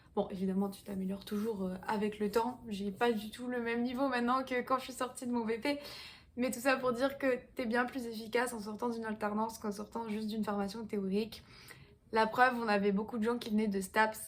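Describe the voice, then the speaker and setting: With intonation that stays fairly level, this voice carries a somewhat breathy quality. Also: woman. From southwestern France, Pau. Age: 20s. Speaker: fitness coach. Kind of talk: casual vlog talk. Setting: at home in apartment.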